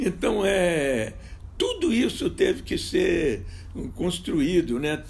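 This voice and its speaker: A man's very slow speech with vocal fry. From Minas Gerais, Brazil. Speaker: film director. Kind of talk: interview answer.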